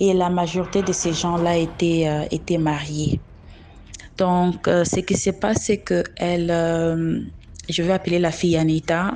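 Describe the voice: A woman with a fairly low voice and a slightly mellow tone speaks at a moderate pace with little pitch movement.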